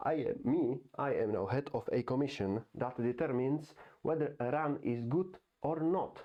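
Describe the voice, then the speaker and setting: With a non-native accent, a man speaks in a fairly high pitch at a very even loudness. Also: ordinary pitch variation, moderate pace. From Europe. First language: not English. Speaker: YouTuber. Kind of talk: casual monologue. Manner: halting.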